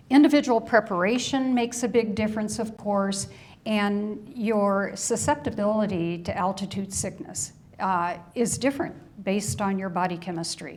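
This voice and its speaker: The woman's voice sits at a medium pitch and sounds somewhat breathy. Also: ordinary pitch variation, moderate pace. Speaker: hiker giving a club presentation. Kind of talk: slide presentation to a club audience.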